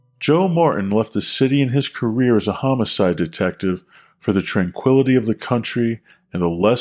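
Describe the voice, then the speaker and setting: With an ordinary speaking voice, a man talks at a moderate pace and a fairly low pitch, his intonation lively, in a very clean recording with a silent background. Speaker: podcast co-host and writer. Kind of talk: podcast intro and outro announcements.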